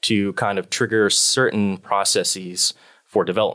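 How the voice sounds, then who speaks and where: In a very clean recording with a silent background and a dry, close sound with no echo, a man speaks at a fairly slow pace with an American accent. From US Midwest, Nebraska. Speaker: PhD student researcher. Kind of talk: interview.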